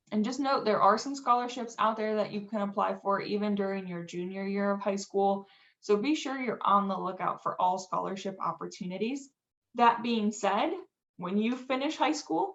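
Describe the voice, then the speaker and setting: The pace here is moderate, with ordinary pitch variation. It is an unremarkable speaking voice. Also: woman. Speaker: financial aid presenter. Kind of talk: webinar presentation.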